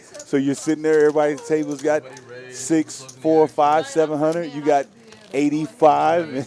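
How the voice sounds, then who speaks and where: With fairly even intonation and a fairly high pitch, a man speaks at a moderate pace while noticeable background noise plays. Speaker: poker commentator. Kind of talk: live commentary. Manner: loud.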